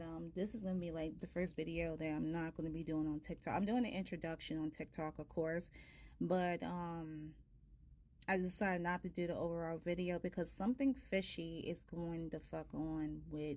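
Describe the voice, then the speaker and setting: A soft-spoken woman's fairly low, dark, mellow voice, fairly even in intonation and moderate in pace. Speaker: tarot reader. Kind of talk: casual chat. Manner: hesitant, many fillers.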